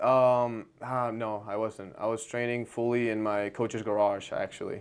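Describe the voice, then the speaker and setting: Speaking in a Spanish accent, a man holds a medium pitch with monotone, flat intonation. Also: fairly slow pace. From Argentina. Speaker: jiu-jitsu competitor. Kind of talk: casual interview chat.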